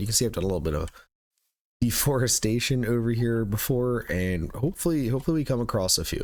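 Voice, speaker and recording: A quiet man with medium pitch talks very fast. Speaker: gaming YouTuber. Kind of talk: gameplay commentary.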